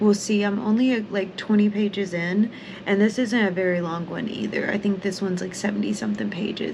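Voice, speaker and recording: Against noticeable background noise, a woman speaks at medium pitch and a moderate pace. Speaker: book vlogger. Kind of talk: casual vlog. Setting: at home. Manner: casual and rambling.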